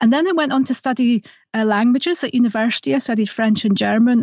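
A woman with a slight Scottish accent, fairly high pitch and a very fast pace. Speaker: playwright and radio dramatist. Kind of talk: interview.

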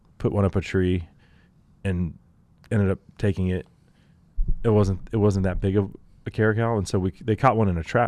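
A man with a Texan accent and a fairly low pitch, at a moderate pace with fairly even intonation and long, frequent pauses, on a very clean recording with a silent background. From Texas. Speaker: outdoor show host. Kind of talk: casual chat. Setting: studio.

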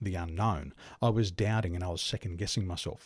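A man with an Australian accent sounds somewhat breathy and uses ordinary pitch variation in a very clean recording with a silent background. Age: 40s. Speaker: business coach. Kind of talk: interview.

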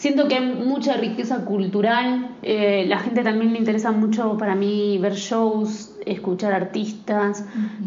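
In a room with audible echo, a woman with an Argentine accent speaks at a very slow pace, her fairly high pitch showing ordinary variation. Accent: mild Argentine. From Argentina. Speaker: actress and singer. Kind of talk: interview. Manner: hesitant, many fillers.

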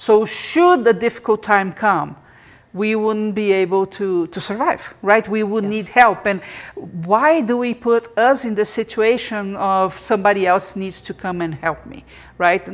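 Using an ordinary speaking voice, a woman talks at medium pitch and a fairly slow pace, with ordinary pitch variation and big swings in loudness. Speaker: podcast host. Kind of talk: live interactive interview podcast. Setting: live video stream.

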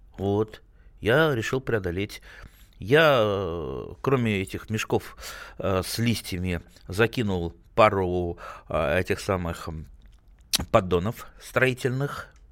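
A man's fairly low voice, very slow and broken by long, frequent pauses, with ordinary pitch variation. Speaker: radio host. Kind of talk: call-in gardening advice show. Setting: studio. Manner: animated.

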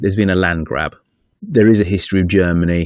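A man with a British accent speaks in a very deep, low pitch at a fairly quick pace. His intonation stays fairly even, and the sound is dry and close with no echo. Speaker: podcaster interviewee. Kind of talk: interview.

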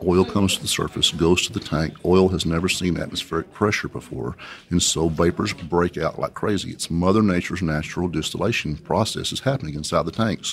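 A man speaks with a West Texas accent. His pitch is very deep and low. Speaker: oilfield inventor and company president. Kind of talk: interview. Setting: conference venue.

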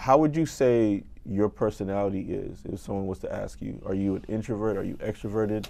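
A man's fairly low-pitched, normal speaking voice with ordinary pitch variation, set against a quiet background. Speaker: podcast host and accounting firm founder. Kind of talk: casual interview.

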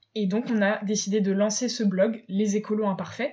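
Her voice is fairly high and somewhat breathy. This woman talks at a fairly slow pace. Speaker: podcast host, eco blogger. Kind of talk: casual monologue. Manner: hesitant, many filler sounds.

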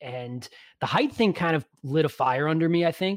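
Speaking with a New York accent, a man uses a fairly high pitch and ordinary pitch variation. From New York (Long Island). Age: 30s. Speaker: physical therapist and podcaster. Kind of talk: casual interview chat. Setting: video call.

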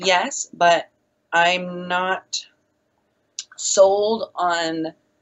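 This woman speaks in a fairly low pitch. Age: 20s. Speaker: satanist guest. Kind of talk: casual chat.

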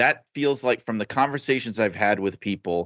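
A man with an unremarkable speaking voice and an American accent talks at a moderate pace with ordinary pitch variation. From New York, Brooklyn. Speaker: wrestling journalist. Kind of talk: casual chat.

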